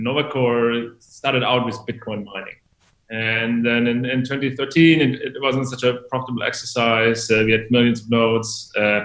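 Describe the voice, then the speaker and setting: Speaking at a moderate pace, a man with a German accent has a medium-pitched voice and monotone, flat intonation. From Germany. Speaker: tech company executive. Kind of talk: interview.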